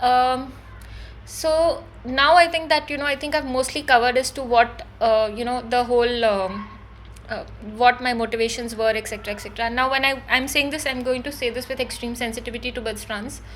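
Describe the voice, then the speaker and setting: Over noticeable background noise, a woman speaks at a fairly quick pace with a high pitch and fairly even intonation. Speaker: spiritual YouTuber, psychic. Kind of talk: unscripted monologue. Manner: fast; hesitant, many fillers.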